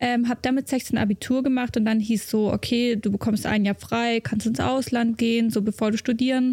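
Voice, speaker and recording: In a very clean recording with a silent background and a dry, close sound with no echo, a woman with a fairly high pitch speaks in a dark, mellow tone, with monotone, flat intonation, very even loudness and a moderate pace. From Germany, Munich. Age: 20s. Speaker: racing driver. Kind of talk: casual interview chat.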